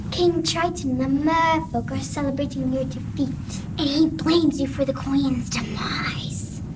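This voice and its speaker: Someone performs a put-on character voice at a moderate pace over loud background noise. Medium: stage play. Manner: fawning, sly.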